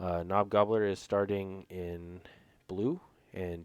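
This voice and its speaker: On a very clean recording with a silent background, a man speaks very slowly in a very deep, low voice with monotone, flat intonation. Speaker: game commentator. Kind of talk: live commentary. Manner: hesitant, many fillers.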